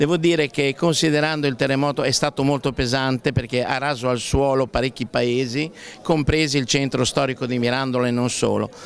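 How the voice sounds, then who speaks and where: A man talks at a fairly quick pace with fairly even intonation and very even loudness. The sound is dry with no echo, over light background noise. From Emilia, Italy. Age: 60s. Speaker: painter. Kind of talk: interview. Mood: honored, warm.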